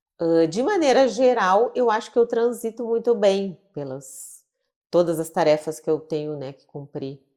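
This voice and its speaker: A woman's dark, mellow voice at medium pitch, fairly slow in pace, with lively intonation. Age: 50s. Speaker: psychiatrist. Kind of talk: interview conversation.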